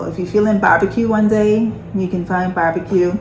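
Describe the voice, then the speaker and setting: In a Bahamian accent, a woman speaks at medium pitch and a fairly quick pace, with audible room echo and noticeable background noise. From Bahamas. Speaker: nurse and lifestyle vlogger. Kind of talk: casual chat.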